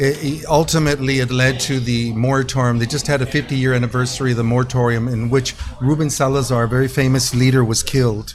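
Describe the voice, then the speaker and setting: In an American accent, a man rattles off words at a very fast pace with hardly any pauses, medium pitch and monotone, flat intonation, over noticeable background noise. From US West Coast (East Los Angeles, California). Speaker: mariachi musician. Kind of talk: casual chat.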